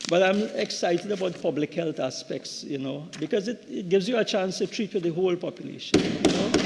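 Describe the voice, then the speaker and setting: A man with a high pitch and ordinary pitch variation talks as noticeable background noise carries on. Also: fairly quick pace, hardly any pauses. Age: 60s. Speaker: member of parliament, doctor. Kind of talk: parliamentary budget debate speech. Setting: parliament chamber. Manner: halting, many repeated words.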